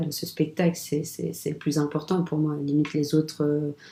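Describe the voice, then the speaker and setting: In a dark, mellow tone, a woman talks fairly slowly. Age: 20s. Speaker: actress. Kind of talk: casual interview. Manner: hesitant, many fillers.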